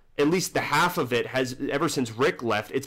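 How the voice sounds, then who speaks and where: This man uses an ordinary speaking voice, moving at a fairly quick pace with ordinary pitch variation. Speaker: TV show commentary vlogger. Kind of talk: casual talk to camera.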